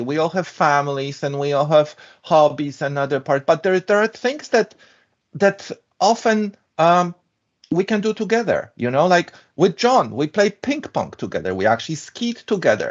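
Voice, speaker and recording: A man with a European accent speaks at a high pitch. His pitch swings very widely. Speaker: structural engineer. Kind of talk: interview.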